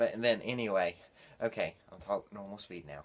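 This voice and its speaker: A man speaks at a medium pitch and a fairly quick pace, with ordinary pitch variation. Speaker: video reviewer. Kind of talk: casual video review. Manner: fast; animated.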